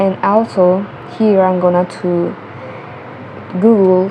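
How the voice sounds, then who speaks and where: Amid noticeable background noise, a woman with a Colombian accent speaks at a very slow pace and a fairly low pitch. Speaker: English learner vlogger. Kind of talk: tutorial. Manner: halting. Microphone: cell phone mic.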